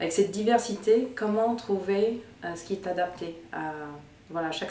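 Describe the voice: A woman's fairly low voice with a dark, mellow tone and ordinary pitch variation, plus audible room echo.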